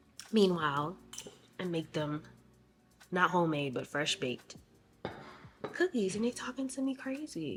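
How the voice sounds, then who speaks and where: Over music in the background, a woman at medium pitch speaks with very wide pitch swings and long, frequent pauses. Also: moderate pace. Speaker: vlogger. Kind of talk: casual vlog talk to camera. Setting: at home.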